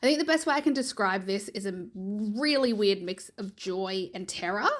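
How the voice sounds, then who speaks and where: A woman with an Australian accent, medium in pitch, at a moderate pace with lively intonation. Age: 30s. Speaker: listener sending a voice memo. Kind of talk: recorded voice memo testimony.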